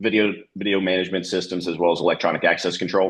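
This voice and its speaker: A man speaks at a very fast pace. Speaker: security business developer. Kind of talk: sales presentation. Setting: video call.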